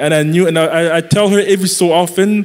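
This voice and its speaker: Noticeable background noise surrounds a man's voice. His pitch is high and his intonation fairly even. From Congo. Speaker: young adult pastor. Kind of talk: live church panel discussion. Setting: stage with audience.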